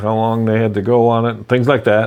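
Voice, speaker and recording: The voice belongs to a man. It has a medium pitch. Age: 60s. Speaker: real estate investor. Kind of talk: personal story to camera. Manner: casual, conversational with fillers.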